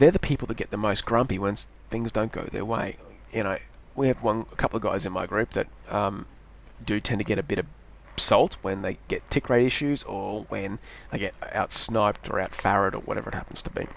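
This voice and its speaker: A man with an Australian accent, fairly low in pitch, fairly quick in pace, with ordinary pitch variation. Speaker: gaming video creator. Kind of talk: gameplay commentary. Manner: rambling, hesitant with self-corrections.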